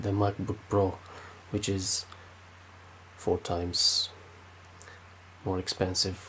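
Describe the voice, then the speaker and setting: Somewhat breathy and fairly low, a man's voice comes through in a Romanian accent. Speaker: tech youtuber. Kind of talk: tech review. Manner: halting, many fillers.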